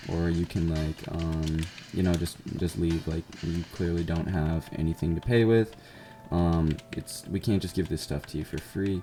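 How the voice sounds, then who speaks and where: Against noticeable background noise, a man with an American accent speaks fairly slowly at a very deep, low pitch with fairly even intonation. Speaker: gamer telling work stories. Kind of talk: casual gameplay storytime. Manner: monotone; hesitant, many fillers.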